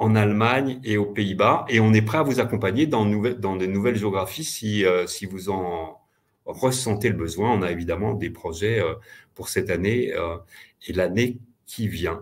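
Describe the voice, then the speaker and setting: Speaking in a fairly low pitch with ordinary pitch variation, a man has a normal speaking voice. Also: fairly slow pace. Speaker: payment company representative. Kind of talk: webinar presentation and Q&A.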